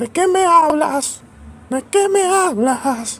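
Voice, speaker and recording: This put-on character voice is high-pitched and squeaky. It moves at a very slow pace. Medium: comedy sketch. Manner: deadpan, formal.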